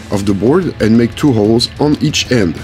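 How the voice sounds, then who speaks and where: With a French accent, a man talks at a moderate pace and medium pitch, his intonation lively, with music in the background. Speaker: maker, DIY woodworker. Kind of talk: DIY workshop tutorial narration.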